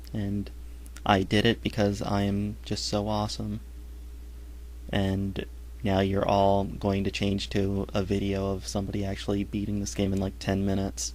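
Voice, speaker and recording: The voice moves at a moderate pace with very wide pitch swings, and audible room echo fills the recording. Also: man, fairly low pitch for a man. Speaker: gaming commentator. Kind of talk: let's play commentary.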